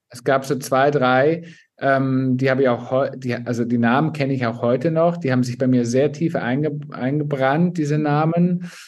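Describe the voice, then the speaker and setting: At a moderate pace, a man speaks in an unremarkable speaking voice with medium pitch and fairly even intonation. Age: 40s. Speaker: flight attendant and influencer. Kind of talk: personal testimony.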